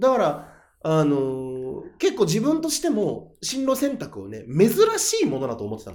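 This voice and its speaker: The man talks at a moderate pace with big swings in loudness. Audible echo fills the room. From Japan, Aomori (Hachinohe). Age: 30s. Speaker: comedian. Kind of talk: casual interview chat. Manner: animated storytelling.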